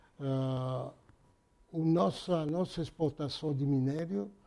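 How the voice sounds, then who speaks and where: A man speaks in a fairly high pitch. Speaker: auto parts company president. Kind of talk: interview. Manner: halting.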